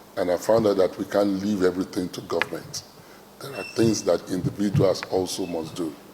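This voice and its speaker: Noticeable background noise surrounds a man talking at a fairly quick pace. His fairly low pitch varies in an ordinary way. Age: 60s. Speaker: traditional ruler. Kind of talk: interview speech. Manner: hesitant, many fillers.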